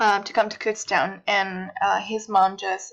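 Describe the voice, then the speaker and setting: Speaking with a Mexican accent, a woman uses a medium pitch and fairly even intonation at a fairly slow pace. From Mexico, Guadalajara. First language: Spanish. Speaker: university student. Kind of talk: personal presentation.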